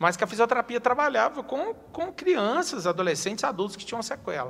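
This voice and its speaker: Very wide pitch swings run through a man's speech at a fairly quick pace. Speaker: city councillor and teacher. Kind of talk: interview.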